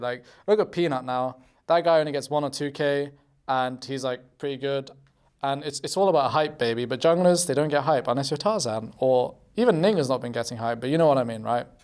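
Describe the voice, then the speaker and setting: A man's fairly high-pitched voice with a British accent, moderate pace and ordinary pitch variation, in a very clean recording with a silent background. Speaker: pro esports player. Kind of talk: casual interview.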